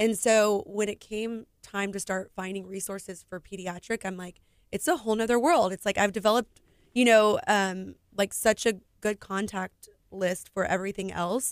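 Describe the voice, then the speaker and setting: A woman with an American accent speaks at a moderate pace and medium pitch, her intonation fairly even, in an unremarkable speaking voice. The sound is dry and close with no echo, and the loudness swings widely. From Houston, Texas. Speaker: business owner and foundation founder. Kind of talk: radio interview. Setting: radio studio.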